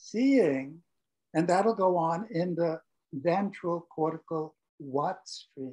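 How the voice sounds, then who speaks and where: At a very slow pace, a man speaks in a dark, mellow tone with a high pitch and ordinary pitch variation. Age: 80s+. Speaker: professor and neuroscientist. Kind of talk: interview.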